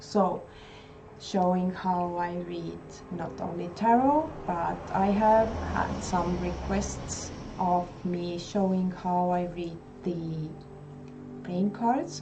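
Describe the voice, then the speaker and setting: Over noticeable background noise and audible room echo, a woman talks very slowly at a fairly low pitch with ordinary pitch variation. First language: not English. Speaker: tarot video creator. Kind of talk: casual vlog talk. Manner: halting.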